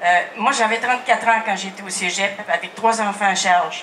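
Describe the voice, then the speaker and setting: A woman in a Quebec accent at a moderate pace, fairly high in pitch with ordinary pitch variation, amid noticeable background noise and audible room echo. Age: 70s. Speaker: social worker. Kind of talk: audience question at public event. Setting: outdoor festival crowd.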